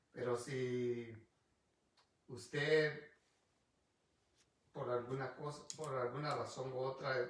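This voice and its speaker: The voice is somewhat breathy with fairly even intonation, and room echo is audible. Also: man. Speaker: pastor. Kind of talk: bible study sermon. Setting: livestream video on Facebook. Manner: halting, frequent restarts.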